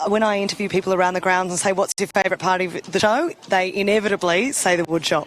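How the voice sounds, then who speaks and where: A woman with an Australian accent talks very fast at medium pitch, with hardly any pauses. Her intonation is fairly even and her loudness very even, over noticeable background noise. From New South Wales. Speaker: show TV presenter. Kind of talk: live interview.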